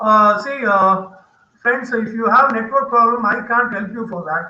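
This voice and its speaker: Raising and projecting his voice, a man speaks at a fairly slow pace with an extremely high pitch, a bright, sharp tone and fairly even intonation, with audible room echo. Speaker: university lecturer. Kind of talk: online lecture. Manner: loud; repetitive, halting.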